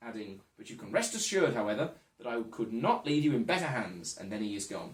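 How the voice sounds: Simply a natural reading voice.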